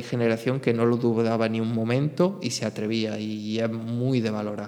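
At a moderate pace and a medium pitch, this man talks in a plain, everyday voice. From Spain. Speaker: podcast host. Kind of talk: solo monologue podcast.

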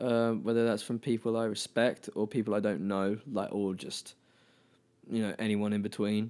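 Heard in a very clean recording with a silent background, the voice has a southern English accent, a moderate pace and fairly even intonation. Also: man, fairly low pitch for a man. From England, Brighton. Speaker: singer. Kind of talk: casual chat.

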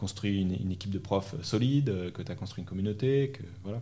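Breathing through somewhat, a man speaks at a fairly low pitch. His pace is fairly quick. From France, Normandy and Paris region. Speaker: coding school manager. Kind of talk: interview. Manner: hesitant, many repetitions.

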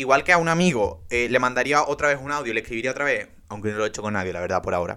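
With a bright, sharp tone and lively intonation, a medium-pitched man talks at a very fast pace with hardly any pauses. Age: 20s. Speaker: podcaster. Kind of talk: casual monologue. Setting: bedroom. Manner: animated.

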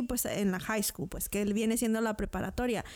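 Very clean recording of a woman's voice, the background silent. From Mexico. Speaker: podcast co-host. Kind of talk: casual interview.

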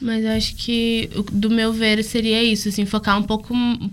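A woman with a fairly high pitch at a moderate pace. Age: young. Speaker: university student. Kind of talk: casual chat.

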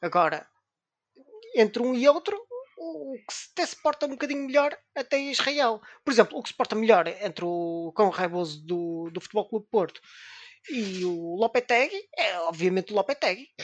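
At a moderate pace broken by long, frequent pauses, a woman speaks at a fairly high pitch with very wide pitch swings and big swings in loudness, the sound dry and close with no echo. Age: 30s. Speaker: podcast co-host. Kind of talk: casual chat. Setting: video recording.

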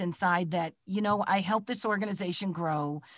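A woman with a Midwestern American accent, moderate pace and ordinary pitch variation against a quiet background. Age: 60s. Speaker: voice actor. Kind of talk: casual chat. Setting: video call.

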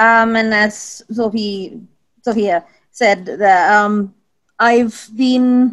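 With fairly even intonation, a woman speaks at a medium pitch and a very slow pace.

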